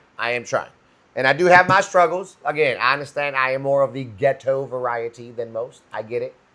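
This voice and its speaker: A man talks loudly and fairly quickly with an American accent. His tone is animated, bright and sharp. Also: fairly high pitch for a man, ordinary pitch variation. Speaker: podcast co-host; instructor. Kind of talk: casual chat.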